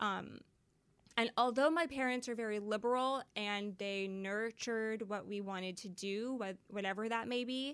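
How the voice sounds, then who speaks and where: A woman with a normal speaking voice and a Canadian accent, fairly high in pitch, at a moderate pace with ordinary pitch variation. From western Canada, Surrey near Vancouver. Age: 30s. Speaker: vintage clothing shop founder. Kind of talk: interview.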